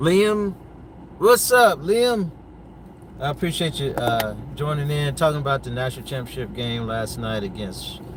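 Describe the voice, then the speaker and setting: Amid noticeable background noise, a man with an American accent talks at a moderate pace with long, frequent pauses, his fairly high pitch swinging very widely. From North Carolina, US. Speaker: sports commentator. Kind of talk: casual livestream chat. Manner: hesitant, many fillers.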